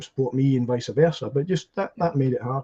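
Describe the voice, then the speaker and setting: A man with a Scottish accent speaks at a fairly quick pace and a medium pitch. His dark, mellow tone is somewhat breathy, and his intonation stays fairly even. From Scotland. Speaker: podcast guest. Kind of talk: casual chat. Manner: halting.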